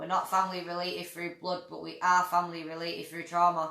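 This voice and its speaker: In a Manchester accent, a woman speaks with a bright, sharp tone. Her intonation is monotone and flat. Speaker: campaigner for families affected by state care. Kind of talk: livestream interview.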